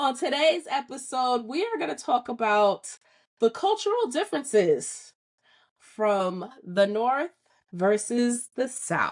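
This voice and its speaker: A woman speaks very slowly in a New York accent, her high pitch swinging very widely. The background is quiet. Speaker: podcast host. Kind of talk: casual chat.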